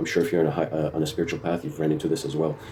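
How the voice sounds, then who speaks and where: A man speaks with a very deep, low pitch. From immigrant, grew up partly abroad. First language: not English. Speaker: tarot reader. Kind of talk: tarot reading monologue. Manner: halting, many fillers.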